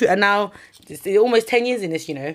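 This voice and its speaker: In a South London accent, a woman is speaking. Her pace is fairly quick. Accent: South London multicultural English. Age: 20s. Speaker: chef and food entrepreneur. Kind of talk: casual chat.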